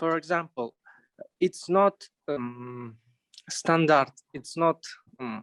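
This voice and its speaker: A man with a non-native accent, a fairly high pitch, a very slow pace and long, frequent pauses. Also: ordinary pitch variation, dry, close sound with no echo. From Kazakhstan. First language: not English. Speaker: workshop participant. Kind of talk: class discussion. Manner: halting.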